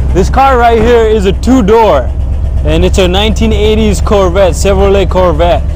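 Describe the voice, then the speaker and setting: A man speaks in a very deep, low voice with fairly even intonation, the sound dry with no echo and noticeable background noise behind him. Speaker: car owner vlogger. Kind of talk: casual vlog chat. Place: street. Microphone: lapel.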